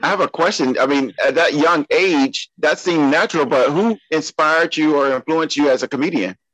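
A man with a normal speaking voice talks at a fairly quick pace and a fairly high pitch, with ordinary pitch variation, very even loudness and hardly any pauses, in a dry, close sound with no echo. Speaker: podcast co-host. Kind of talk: casual chat.

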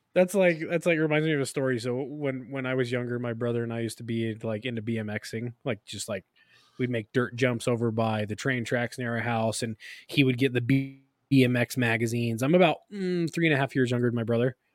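A man with a normal speaking voice talks at a fairly quick pace and medium pitch, with ordinary pitch variation. The sound is dry and close with no echo. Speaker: podcast co-host. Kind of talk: casual chat. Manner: casual, joking.

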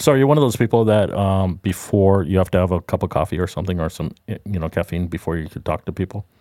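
A man with an American accent, very deep and low in pitch with a dark, mellow tone and ordinary pitch variation, at a very fast pace with hardly any pauses, dry and close with no echo on a very clean recording with a silent background. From Southern California. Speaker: podcast co-host. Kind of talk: casual chat.

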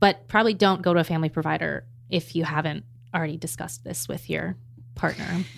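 A woman with a very deep, low pitch and vocal fry talks very fast in an American accent. Her intonation is lively. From Maryland, US. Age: 20s. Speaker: postpartum advocate. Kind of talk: casual chat.

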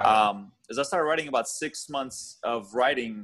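A man talks at a moderate pace and medium pitch, with ordinary pitch variation. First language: not English (English is third language). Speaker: author. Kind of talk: podcast interview.

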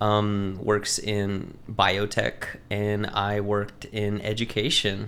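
In a fairly low voice with an American accent, a man talks in a flat monotone, with audible room echo around him. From Texas, Lubbock area. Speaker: local politician and hot sauce maker. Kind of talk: casual chat.

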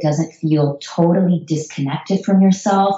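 Against noticeable background noise, a woman with an American accent talks at a moderate pace in a fairly low pitch with ordinary pitch variation. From United States. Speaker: psychologist. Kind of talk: interview.

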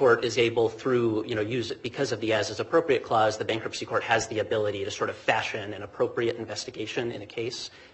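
Over noticeable background noise, a man talks at a very fast pace with hardly any pauses. His voice is at a medium pitch with ordinary pitch variation. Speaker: government lawyer. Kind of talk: appellate oral argument. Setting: courtroom. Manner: halting, many fillers and repetitions.

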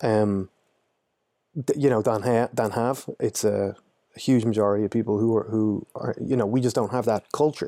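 On a very clean recording with a silent background, a man speaks at a moderate pace in a medium pitch with a dark, mellow tone, very even loudness and fairly even intonation, the sound dry and close with no echo. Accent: Irish. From Ireland. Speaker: anti-poaching trainer. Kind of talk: casual interview.

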